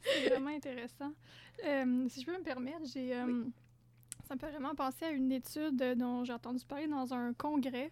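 A woman speaks at a high pitch with fairly even intonation. She leaves long, frequent pauses. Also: moderate pace. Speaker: doctoral researcher in health sciences. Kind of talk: interview. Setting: studio.

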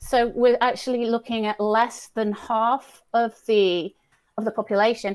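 Speaking with a British accent at a moderate pace, a woman keeps a fairly high pitch and a monotone, flat intonation. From Britain. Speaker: head of language services at a nonprofit. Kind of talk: casual interview. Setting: video call, remote from Dublin.

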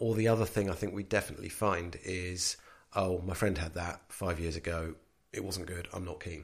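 A man speaks at a moderate pace with a very deep, low pitch, fairly even intonation and a somewhat breathy quality. The recording is very clean, with a silent background. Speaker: home technology integrator. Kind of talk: casual chat. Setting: living room at home.

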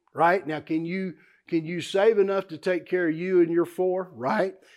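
Against a quiet background, a speaker with a Texan accent talks with fairly even intonation. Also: man. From South Texas, Houston area. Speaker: investment teacher. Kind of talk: workshop teaching.

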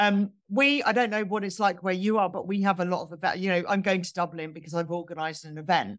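At a very fast pace with hardly any pauses, a woman with a southern English accent talks with ordinary pitch variation. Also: medium pitch for a woman. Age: 40s. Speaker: sober blogger and community leader. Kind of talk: interview conversation. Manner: hesitant, many fillers.

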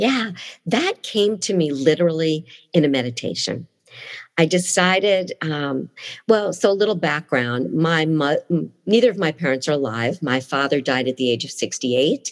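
A woman speaks with lively intonation. Her pitch is very deep and low. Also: moderate pace. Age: 60s. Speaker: speech-language pathologist and life coach. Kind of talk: interview.

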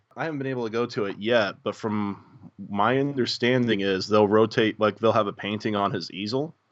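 This man, with an American accent, talks at a fairly quick pace with fairly even intonation and hardly any pauses. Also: fairly low pitch for a man. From Muncie, Indiana, US Midwest. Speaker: podcast co-host. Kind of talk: casual chat.

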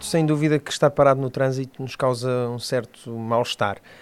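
Using a plain, everyday voice, a man talks at a moderate pace with medium pitch and ordinary pitch variation. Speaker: podcast host. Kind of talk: interview.

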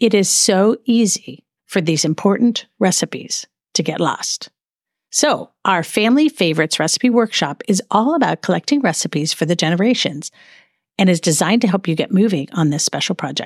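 A woman with a plain, everyday voice speaks at medium pitch and a moderate pace, her intonation lively. The background is quiet, and the sound is dry and close with no echo. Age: 50s. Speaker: podcast host. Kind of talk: solo podcast monologue.

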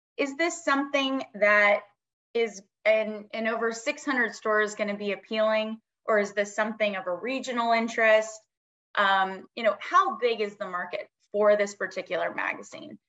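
Fairly high female voice, an ordinary speaking voice, with ordinary pitch variation at a moderate pace. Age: 40s. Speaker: magazine newsstand executive. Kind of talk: casual interview.

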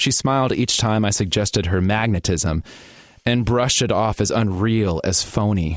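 A man with an American accent speaks in an unremarkable speaking voice at a moderate pace and fairly low pitch, with ordinary pitch variation and very even loudness, on a very clean recording with a silent background. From US Midwest, Gary, Indiana. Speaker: writer and performer. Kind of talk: reading own writing aloud; casual interview.

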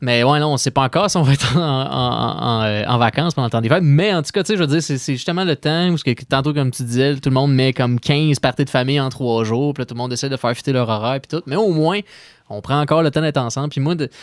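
In a Quebec accent, a man with a fairly high pitch speaks at a very fast pace with ordinary pitch variation, the sound dry and close with no echo. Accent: Québécois French. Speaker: radio co-host. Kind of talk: casual chat. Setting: studio. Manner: jovial, laughs often.

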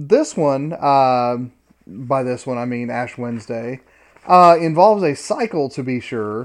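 This man has an unremarkable speaking voice at medium pitch. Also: fairly slow pace. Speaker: professor and podcast co-host. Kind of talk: casual academic discussion. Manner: dry, joking, deadpan.

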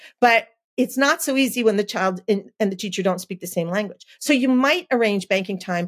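Fairly high in pitch, a woman with an American accent speaks at a moderate pace in an ordinary speaking voice with lively intonation. The recording is very clean, with a silent background and a dry, close sound with no echo. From New Jersey, US. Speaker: early education consultant and author. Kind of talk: interview.

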